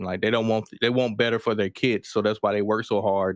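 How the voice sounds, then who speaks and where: A man speaks in a slight Southern US accent over a quiet background. His fairly low voice has monotone, flat intonation. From US South, rural Mississippi. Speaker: rapper and Air Force veteran. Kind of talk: casual chat.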